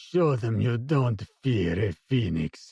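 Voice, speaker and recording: Using a put-on character voice, a man speaks very slowly at a medium pitch, raspy and hissing, with lively intonation. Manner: hissed through clenched teeth.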